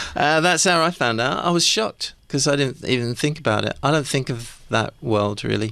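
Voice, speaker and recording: A man with an English accent, medium in pitch, bright and sharp in tone, lively in intonation, at a moderate pace with very even loudness and hardly any pauses. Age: 70s. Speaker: rock keyboardist. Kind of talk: radio interview.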